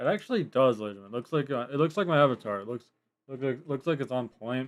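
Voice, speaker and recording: Mumbling at a very fast pace, a man speaks at a medium pitch with ordinary pitch variation. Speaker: Roblox streamer. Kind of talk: live gaming stream commentary. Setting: live stream. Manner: quiet at times.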